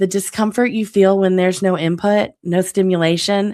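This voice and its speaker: Medium pitch from a woman, delivered fairly slowly. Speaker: author and podcast host. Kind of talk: podcast monologue. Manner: nervous.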